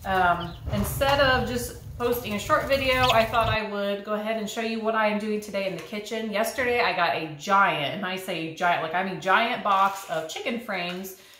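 Hardly pausing, a woman keeps a moderate pace with ordinary pitch variation in audible room echo. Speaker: home cook vlogger. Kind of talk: casual vlog chat. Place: kitchen. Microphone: camera far.

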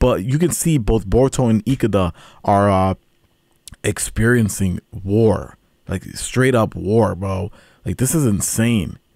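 A man talks at a fairly slow pace. The sound is dry with no echo, over a quiet background. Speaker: anime reactor. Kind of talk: casual reaction commentary. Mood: excited and thoughtful. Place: home room. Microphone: studio mic.

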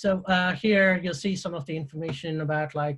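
A man talks at a moderate pace with little pitch movement.

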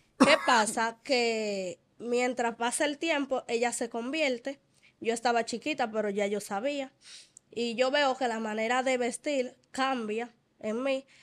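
A woman speaks at a very slow pace in a high pitch. Her intonation stays fairly even. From Dominican Republic. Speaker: church member sharing testimony; interview guest. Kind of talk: testimony. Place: studio. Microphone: studio mic.

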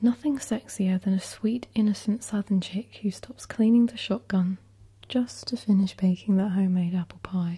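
Moderate pace against a quiet background. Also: woman. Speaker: ASMR creator. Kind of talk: reading odd and mean comments aloud in a collab.

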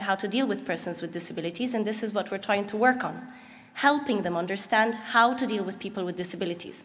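A woman with an Arabic accent speaks at a very fast pace. Her fairly high voice shows ordinary pitch variation. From Egypt. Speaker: nonprofit founder; speaker. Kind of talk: conference presentation. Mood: earnest, smiling. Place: hall.

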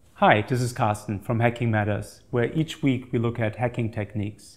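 A man's somewhat breathy voice. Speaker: security channel host. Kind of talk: explainer presentation. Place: office. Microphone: lapel.

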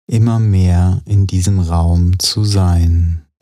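Speaking at a very slow pace, a man uses a very deep, low voice with a dark, mellow tone, a calm, soothing tone and fairly even intonation. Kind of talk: guided meditation. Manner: slow, calm, soothing.

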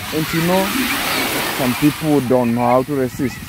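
Noticeable background noise surrounds a dry, echo-free voice moving at a fairly slow pace. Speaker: vlogger filming. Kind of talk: casual vlog commentary. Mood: joking, teasing. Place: beach. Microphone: phone near.

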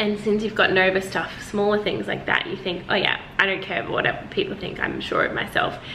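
Flat, monotone delivery from a woman at a fairly quick pace, with light background noise. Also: hardly any pauses. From Australia. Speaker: vlogger. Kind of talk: casual vlog monologue. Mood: reflective, personal, soft. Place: home room. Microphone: phone near.

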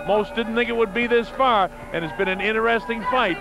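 Delivered at a fairly quick pace with ordinary pitch variation, the speech comes with noticeable background noise and audible room echo. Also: man. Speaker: boxing commentator. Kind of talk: live commentary. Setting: ringside at arena with crowd. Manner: animated.

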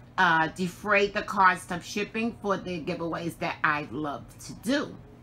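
With lively intonation and a bright, sharp tone, a woman talks at a fairly slow pace over light background noise. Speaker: crafting channel host. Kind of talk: casual vlog chat. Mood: warm and grateful. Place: home room. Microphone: phone near.

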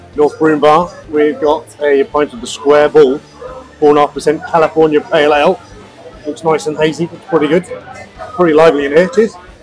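Music plays in the background as a man talks at a moderate pace. His pitch varies in an ordinary way. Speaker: pub crawl vlogger. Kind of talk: casual vlog chat. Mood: relaxed, cheerful. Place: bar. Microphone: lapel.

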